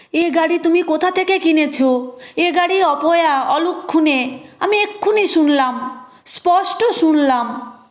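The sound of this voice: A shaky, put-on character voice from a woman, extremely high in pitch, at a moderate pace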